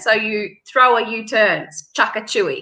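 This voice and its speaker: With an Australian accent, a woman speaks in a raised, projected voice at a fairly slow pace. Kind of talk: casual chat. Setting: live stream video call.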